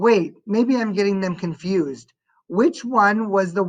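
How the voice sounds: In a natural reading voice with ordinary pitch variation, the speaker is heard over a quiet background.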